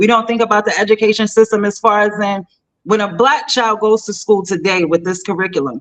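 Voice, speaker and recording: Speaking at a fairly quick pace, a woman with a medium pitch sounds animated, with ordinary pitch variation. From US Northeast, Southside Jamaica, Queens, New York City. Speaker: AI entrepreneur. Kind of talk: interview conversation. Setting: live online show.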